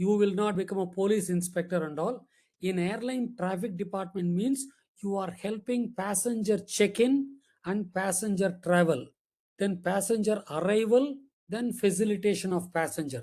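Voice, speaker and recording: A man speaks in a high voice with a dark, mellow tone and ordinary pitch variation. The recording is very clean, with a silent background. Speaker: aviation expert giving a talk. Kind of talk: lecture. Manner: slow and clear.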